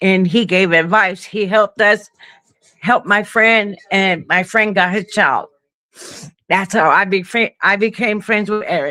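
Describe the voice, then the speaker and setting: A woman with an American accent speaks at a fairly slow pace in a medium pitch and a bright, sharp tone. Her intonation is fairly even and her loudness very even. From Brooklyn, New York. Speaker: caller on a live stream. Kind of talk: casual chat. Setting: video call.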